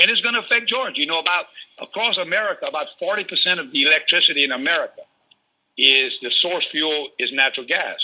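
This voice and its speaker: A man with a Louisiana accent speaks very fast in a high voice, his intonation lively and his tone animated. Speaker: energy industry advocate. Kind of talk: radio interview. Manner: animated, repetitive stammering starts.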